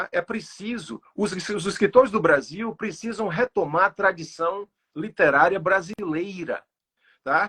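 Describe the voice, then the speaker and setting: Raised and projected, a man's high, bright, sharp voice moves at a fairly slow pace with ordinary pitch variation, recorded dry and close with no echo. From Sertão of Bahia, Brazil. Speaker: poet. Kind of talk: online interview. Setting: livestream. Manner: halting, with fillers.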